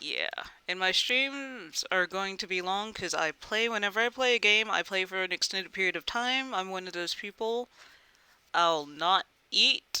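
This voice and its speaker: Dry and close with no echo, a woman's medium-pitched voice has a bright, sharp tone and ordinary pitch variation. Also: very clean recording, silent background. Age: 30s. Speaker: video game streamer. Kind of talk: casual chat while live streaming a game. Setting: live stream.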